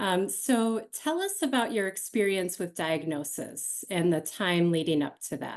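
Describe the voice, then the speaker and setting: This woman has a normal speaking voice at a medium pitch, with lively intonation. She talks at a fairly slow pace with hardly any pauses against a quiet background. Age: 40s. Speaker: panel moderator. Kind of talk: panel interview. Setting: home office.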